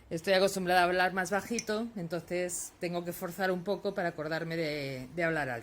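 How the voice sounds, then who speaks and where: Speaking at a moderate pace, a woman uses medium pitch and ordinary pitch variation. The recording is very clean, with a silent background. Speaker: lace-making teacher. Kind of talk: tutorial. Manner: soft-spoken, tends to speak quietly; halting, many fillers.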